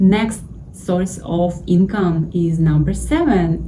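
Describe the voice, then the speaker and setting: A woman with a Russian accent speaks at a very slow pace, with fairly low pitch and ordinary pitch variation, over noticeable background noise. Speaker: YouTuber giving money advice. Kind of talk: casual tutorial.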